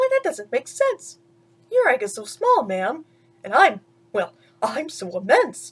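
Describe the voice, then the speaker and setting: Using a put-on character voice pitched high, a woman speaks at a moderate pace with long, frequent pauses. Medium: read story. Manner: earnest.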